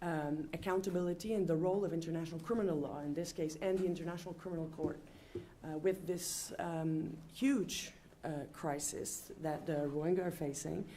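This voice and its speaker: A woman with a French accent speaks at a fairly low pitch, her tone dark and mellow. Her intonation is fairly even, her pace fairly quick, and audible room echo surrounds her. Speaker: panel chair, law professor. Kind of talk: panel introduction. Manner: halting, many fillers.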